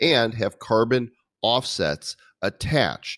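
Man on a very clean recording, silent background, with a dry, close sound and no echo. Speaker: crypto podcast co-host. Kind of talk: casual chat.

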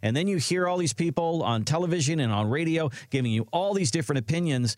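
Talking at a fairly quick pace, a man has an unremarkable speaking voice pitched fairly high. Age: 60s. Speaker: radio co-host. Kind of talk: casual chat.

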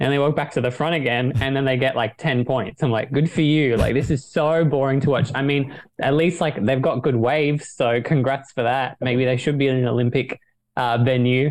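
A man with a plain, everyday voice talks at medium pitch and a moderate pace. His intonation is fairly even and his loudness very even. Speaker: podcast panelist. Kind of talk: casual chat.

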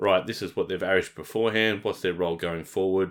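Very fast and fairly even in intonation, a man talks with a very deep, low pitch and a bright, sharp tone. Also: very clean recording, silent background. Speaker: fantasy football podcast host. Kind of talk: casual chat.

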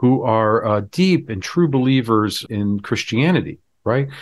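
Against a quiet background, a man with an American accent uses an unremarkable speaking voice at a medium pitch with lively intonation. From Florida. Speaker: rabbi. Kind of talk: podcast interview conversation.

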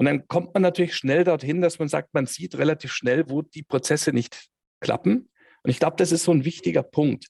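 With vocal fry and a fairly high pitch, a man talks at a moderate pace in a dry, close sound with no echo. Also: ordinary pitch variation. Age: 50s. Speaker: head of controlling and business intelligence. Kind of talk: interview.

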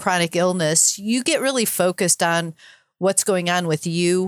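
A normal speaking voice from a woman, fairly low in pitch, at a moderate pace with ordinary pitch variation, in a very clean recording with a silent background and a dry, close sound with no echo. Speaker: podcaster and sailor, cancer survivor. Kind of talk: interview conversation.

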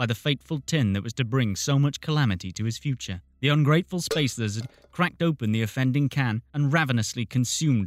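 Pitch moves in an ordinary way. The delivery is plain reading aloud.

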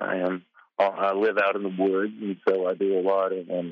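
A fairly low-pitched man with an American accent in a monotone, flat intonation. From US South, Tennessee. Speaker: caller. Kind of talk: call-in question. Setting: phone call. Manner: halting.

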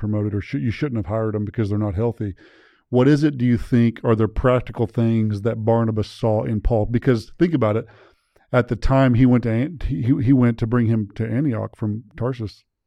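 A man talks at a fairly quick pace in a medium pitch with a dark, mellow tone. His intonation stays fairly even over a quiet background. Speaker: podcast host. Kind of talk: casual interview chat. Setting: studio.

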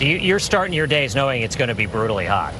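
Very wide pitch swings from a male speaker, with noticeable background noise behind him. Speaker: TV news correspondent. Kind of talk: news report.

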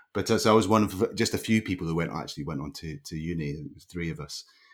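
On a very clean recording with a silent background, a man with a Scottish accent speaks at a very fast pace with vocal fry. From Scotland, Leven, Fife. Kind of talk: interview.

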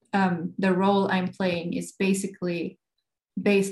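A woman with vocal fry talks at medium pitch and a moderate pace in a monotone, flat intonation. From Sweden, Gothenburg. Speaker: guitarist. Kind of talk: interview. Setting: video call.

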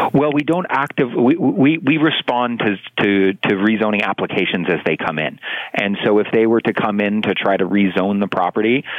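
A man's fairly low-pitched, plain, everyday voice with a Canadian accent, fairly quick, with ordinary pitch variation and very even loudness. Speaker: city councillor. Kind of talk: radio interview.

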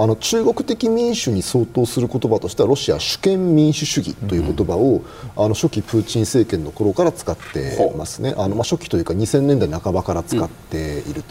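A man's medium-pitched voice, fairly quick with hardly any pauses and very wide pitch swings. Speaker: military analyst and university lecturer. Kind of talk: TV panel discussion.

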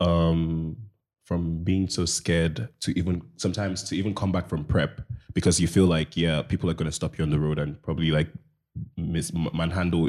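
His pitch very deep and low, a man talks at a moderate pace with fairly even intonation. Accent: Nigerian. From Nigeria. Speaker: project manager. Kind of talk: casual chat.

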